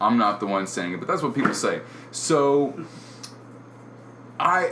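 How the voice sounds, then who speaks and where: A man talks loudly with very wide pitch swings, his voice carrying an audible room echo over noticeable background noise. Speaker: podcast co-host. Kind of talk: casual chat.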